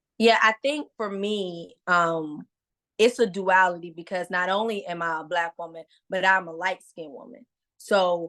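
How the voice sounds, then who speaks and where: A woman's medium-pitched voice at a fairly slow pace against a quiet background. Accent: American. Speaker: comedian. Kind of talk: casual interview. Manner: loud; animated.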